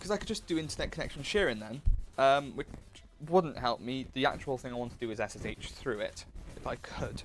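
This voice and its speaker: Over music in the background, a man with a British accent and a fairly high pitch speaks at a fairly quick pace with lively intonation. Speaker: livestreamer and student. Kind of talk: casual livestream commentary while working. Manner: slurred speech; halting, many fillers and restarts.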